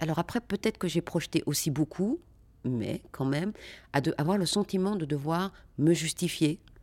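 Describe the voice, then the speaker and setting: At a moderate pace, a woman speaks in a fairly low pitch with ordinary pitch variation, in a very clean recording with a silent background. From Brussels, Belgium. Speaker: actress. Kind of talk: interview.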